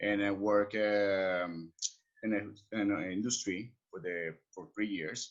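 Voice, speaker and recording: Speaking at a very slow pace, a man with a Colombian accent uses fairly even intonation at a fairly low pitch. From Colombia, Cali. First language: Spanish. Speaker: expat services entrepreneur. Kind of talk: podcast interview. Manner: halting.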